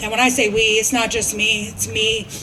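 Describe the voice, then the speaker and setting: A woman with a fairly high pitch speaks at a moderate pace. Crowd noise fills the background, and room echo is audible. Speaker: recovering addict. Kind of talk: testimony. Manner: loud.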